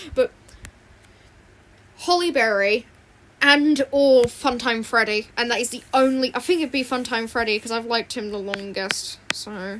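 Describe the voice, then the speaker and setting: The squeaky voice moves at a fairly slow pace with long, frequent pauses, an animated tone and ordinary pitch variation. Its loudness swings widely over noticeable background noise. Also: woman, high pitch for a woman. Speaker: art streamer. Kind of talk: casual livestream chat while drawing. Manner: rambling, animated.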